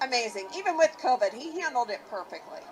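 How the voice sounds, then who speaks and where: With a western Pennsylvania accent, a woman speaks in an animated tone at a high pitch and a moderate pace. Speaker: rally attendee. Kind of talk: street interview.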